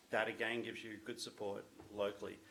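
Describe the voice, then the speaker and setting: A man talks with an Australian accent. Noticeable background noise is present. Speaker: business owner presenting to a town committee. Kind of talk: presentation at a public meeting. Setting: town committee meeting room.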